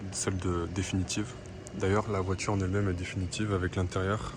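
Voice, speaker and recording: At a fairly quick pace, a man with a fairly low pitch talks in a monotone, flat intonation while noticeable background noise is heard. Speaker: car vlogger. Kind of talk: casual walkaround video commentary. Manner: hesitant, many fillers.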